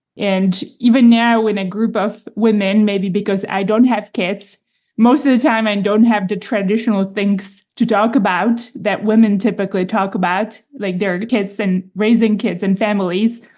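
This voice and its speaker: A woman with a Czech accent speaks at a medium pitch, her intonation fairly even. She barely pauses, and the background is quiet. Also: moderate pace. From Czech Republic. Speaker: podcast host. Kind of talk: interview.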